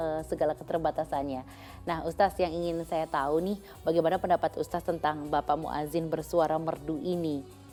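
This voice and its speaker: A woman speaks at a moderate pace in a fairly low pitch. Music plays in the background. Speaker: news program host. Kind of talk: news anchor read and studio interview questions.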